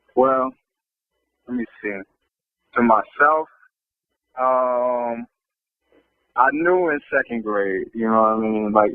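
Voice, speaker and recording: At a very slow pace, a man with an American accent speaks with long, frequent pauses. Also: medium pitch for a man, ordinary pitch variation. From US Midwest, St. Louis, Missouri. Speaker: rapper. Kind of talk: interview. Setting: phone call.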